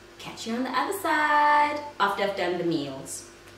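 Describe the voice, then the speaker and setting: A woman talks at a moderate pace. Audible room echo and light background noise surround her voice. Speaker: food vlogger. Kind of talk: casual vlog chat. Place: home room.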